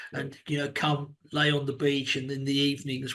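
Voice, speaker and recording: A man with a southern English accent and a fairly high pitch. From England (London, then Cambridge). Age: 60s. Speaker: business executive and mentor. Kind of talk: interview. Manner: halting, many repeated words.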